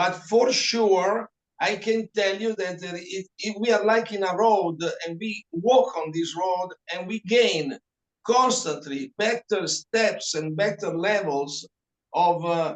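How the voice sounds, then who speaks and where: Speaking at a very slow pace with a non-native accent, a man with a high pitch shows ordinary pitch variation in a dry, close recording with no echo. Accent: foreign. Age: 70s. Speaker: reflexologist. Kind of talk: interview.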